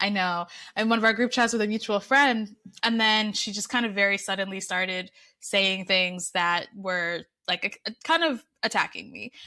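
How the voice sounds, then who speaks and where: A woman's bright, sharp voice at medium pitch and moderate pace, in a very clean recording with a silent background. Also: ordinary pitch variation. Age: 40s. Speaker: content creator. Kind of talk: casual interview chat.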